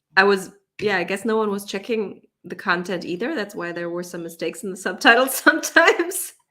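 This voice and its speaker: A woman talks at a fairly quick clip in a German accent, her medium-pitched voice bright and sharp. Her intonation is lively, and her loudness swings widely. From Germany, Cologne area, then US from age nine. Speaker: language teacher and online content creator. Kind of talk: livestream Q&A.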